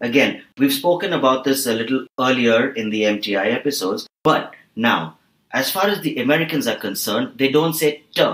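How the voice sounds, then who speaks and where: Here is an ordinary speaking voice. Its intonation is lively. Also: man. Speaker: voice and accent trainer. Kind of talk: accent lesson explanation on podcast.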